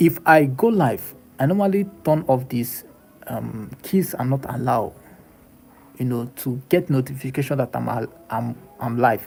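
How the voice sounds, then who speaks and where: A man with a Nigerian accent at medium pitch, ordinary pitch variation and a fairly slow pace, with music in the background. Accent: Nigerian English (Igbo). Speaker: livestreamer / content creator. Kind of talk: casual live-stream monologue. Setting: live stream. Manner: halting, repetitive.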